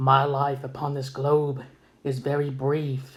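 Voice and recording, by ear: In a put-on character voice, a man speaks with monotone, flat intonation and a creaky sound. His pitch is medium and his pace fairly slow.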